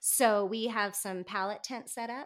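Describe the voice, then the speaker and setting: A fairly slow-paced woman in an American accent, ordinary pitch variation, in a very clean recording with a silent background. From US Pacific Northwest, north central Washington. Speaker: homesteader. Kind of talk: casual chat.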